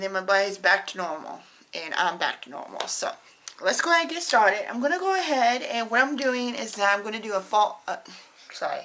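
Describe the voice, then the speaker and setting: A woman speaks at a fairly high pitch and a fairly quick pace, with very wide pitch swings and big swings in loudness. Noticeable background noise is present. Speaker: beauty vlogger. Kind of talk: makeup tutorial. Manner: casual, chatty.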